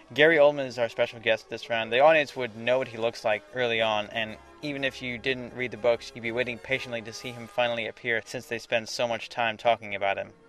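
With music in the background, a man talks very fast with hardly any pauses, at a medium pitch, in fairly even intonation, and with big swings in loudness. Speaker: video editor. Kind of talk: scripted commentary narration.

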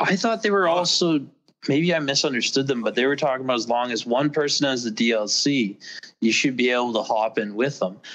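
Speaking with a normal speaking voice, a man talks at a medium pitch and a fairly quick pace, with lively intonation and very even loudness. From US. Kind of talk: casual chat. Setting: video call.

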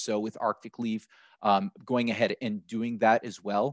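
An American-accented man with fairly even intonation, dry sound with no echo and a quiet background. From United States. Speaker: accessibility software partner manager; panelist. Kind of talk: panel webinar discussion. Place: home room. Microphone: headset.

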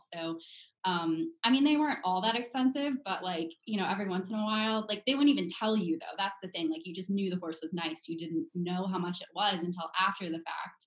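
A woman talks fairly quickly, her intonation lively. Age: 20s. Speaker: brand manager and equestrian; podcast guest. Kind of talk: casual chat. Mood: friendly, relaxed. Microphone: video call.

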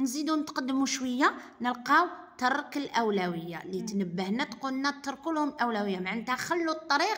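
The voice moves at a moderate pace with very wide pitch swings. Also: woman, high pitch for a woman. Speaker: driving instructor. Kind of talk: tutorial. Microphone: phone near.

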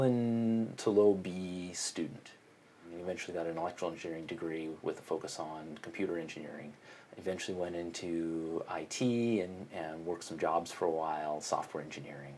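Here a man with an American accent speaks at a moderate pace. His intonation is lively, over light background noise. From US Pacific Northwest, Portland, Oregon; Oregon. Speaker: computer science professor. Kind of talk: interview monologue. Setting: office. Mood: friendly, relaxed. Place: office. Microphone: lapel.

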